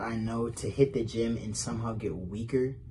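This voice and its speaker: Somewhat breathy and dark, mellow in tone, a man's voice comes through with audible room echo. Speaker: comedy roast participant. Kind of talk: roast jokes in recorded video. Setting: pre-recorded video. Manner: halting, fumbling words.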